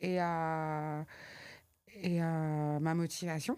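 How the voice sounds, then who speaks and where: A woman is talking. Her recording is very clean, and the background is silent. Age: 40s. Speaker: trainer and consultant, single mother. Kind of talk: interview. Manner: hesitant, many fillers.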